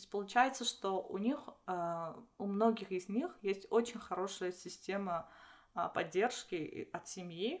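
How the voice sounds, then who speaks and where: Speaking very slowly, a woman uses a medium pitch with ordinary pitch variation. Her loudness swings widely. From Armenia, Vanadzor. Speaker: doctoral student and lecturer. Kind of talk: casual interview chat. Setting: in person, same room. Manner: halting.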